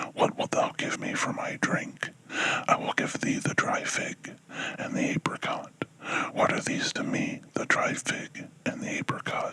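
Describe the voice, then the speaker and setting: Over noticeable background noise, a whispering voice goes at a fairly slow pace. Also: man. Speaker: ASMR whisperer. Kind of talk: ASMR book reading. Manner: whispered, soft-spoken.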